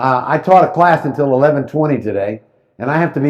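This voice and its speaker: The man's voice sits at a fairly high pitch and sounds animated. He talks at a fairly quick pace with ordinary pitch variation. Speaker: real estate professor. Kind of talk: lecture. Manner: fast.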